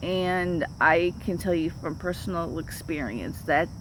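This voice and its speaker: Audible room echo surrounds the speaker. She is a woman with a fairly low voice. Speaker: vlogger. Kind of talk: casual vlog monologue. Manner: halting.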